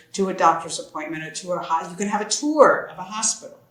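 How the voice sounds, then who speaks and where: A woman speaks with a fairly low pitch and lively intonation, and the room echo is audible. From US, Central California. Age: 60s. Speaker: expat author. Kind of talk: interview conversation.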